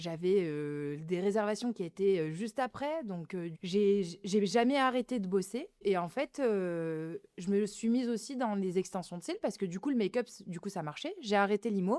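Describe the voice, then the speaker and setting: A woman with a normal speaking voice talks at a moderate pace with lively intonation and medium pitch. The sound is dry and close, with no echo. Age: 30s. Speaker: beauty clinic owner. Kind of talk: interview. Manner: casual, many fillers.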